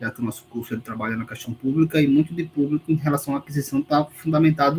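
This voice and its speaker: The man's voice is somewhat breathy and sits at a fairly high pitch. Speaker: university lecturer. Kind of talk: online lecture, exam review.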